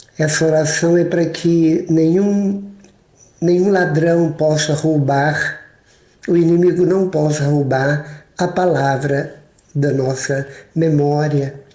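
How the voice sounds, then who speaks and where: This man has a dark, mellow tone and a fairly high pitch, speaking at a very slow pace with fairly even intonation. His loudness stays very even, and audible room echo surrounds the recording. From Minas Gerais, Brazil. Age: 60s. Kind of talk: sermon.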